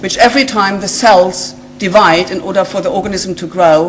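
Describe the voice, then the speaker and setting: A woman speaks at medium pitch and a moderate pace with a German accent and ordinary pitch variation. There is noticeable background noise and audible room echo. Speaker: genetic scientist. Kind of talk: lecture. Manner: halting, with many fillers.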